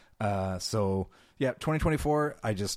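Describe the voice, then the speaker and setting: On a very clean recording with a silent background, a man with an American accent speaks in a plain, everyday voice, fairly low in pitch, at a moderate pace with ordinary pitch variation. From California. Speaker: podcast host. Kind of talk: casual interview chat.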